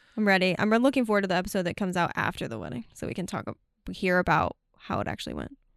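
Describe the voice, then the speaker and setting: A woman talks at a very fast pace with hardly any pauses, at a medium pitch and with vocal fry. The background is quiet. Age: 20s. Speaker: podcast host. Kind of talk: casual chat. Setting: studio.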